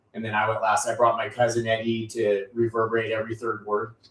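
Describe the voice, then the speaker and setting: The speaker is a man with a mid-range pitch. He delivers his words very rapidly. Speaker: podcast host. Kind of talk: casual interview chat.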